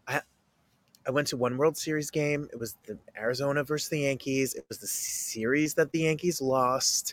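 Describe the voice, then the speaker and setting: A man talks at a moderate pace in an ordinary speaking voice, fairly high in pitch. His intonation stays fairly even, but his loudness swings a lot. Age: 30s. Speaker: podcast host. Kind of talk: interview.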